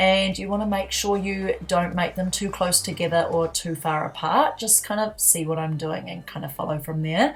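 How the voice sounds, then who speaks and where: A woman speaks at a fairly low pitch and a moderate pace, with hardly any pauses. Her pitch varies in an ordinary way, and there is noticeable background noise. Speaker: makeup youtuber. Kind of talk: makeup tutorial.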